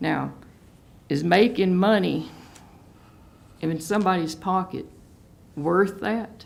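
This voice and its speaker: A woman with a Southern US accent speaks very slowly at medium pitch, with vocal fry, ordinary pitch variation and long, frequent pauses. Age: 60s. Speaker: local resident. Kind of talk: public hearing comment. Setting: county board meeting.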